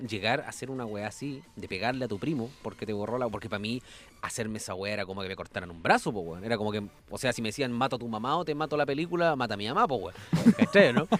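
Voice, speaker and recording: A man speaks at a very fast pace with a Chilean accent. His pitch is medium and his intonation lively. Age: 20s. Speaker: musician. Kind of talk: casual chat. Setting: studio.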